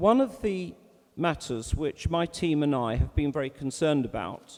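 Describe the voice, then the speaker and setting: Speaking at a moderate pace with a British accent, a man uses lively intonation in a dark, mellow tone at a fairly high pitch. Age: 60s. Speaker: chair of a community representative body. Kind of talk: formal speech. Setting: meeting hall with audience, microphones, live-streamed.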